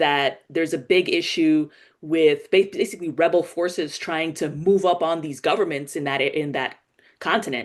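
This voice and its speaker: A woman with a New York accent and lively intonation. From New York City, the Bronx. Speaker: political commentary host. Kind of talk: live political commentary. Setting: live stream. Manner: casual, conversational with fillers.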